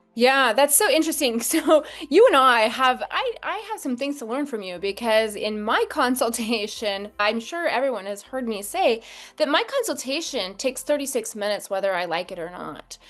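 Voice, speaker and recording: A woman speaks at a moderate pace in a high pitch, with very wide pitch swings and big swings in loudness. Noticeable background noise is present. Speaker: physician and podcast host. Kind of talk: casual professional interview.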